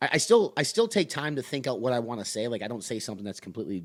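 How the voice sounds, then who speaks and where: On a very clean recording with a silent background, a man of medium pitch talks at a very fast pace with lively intonation. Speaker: podcast co-host. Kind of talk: casual chat.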